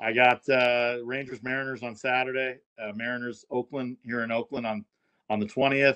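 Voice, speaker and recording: A man's medium-pitched voice with a dry, close sound and no echo, over a quiet background. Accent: American. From Southern California. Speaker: sports broadcaster. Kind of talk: casual chat.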